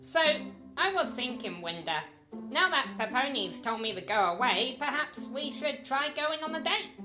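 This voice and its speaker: A female-sounding voice, high in pitch, performs a put-on character voice over clear music in the background. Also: moderate pace. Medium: machinima.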